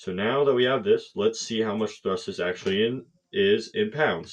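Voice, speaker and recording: Here a man talks at a moderate pace and medium pitch. His intonation is lively. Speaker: hobbyist engineering youtuber. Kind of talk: tutorial. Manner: casual, hesitant with fillers.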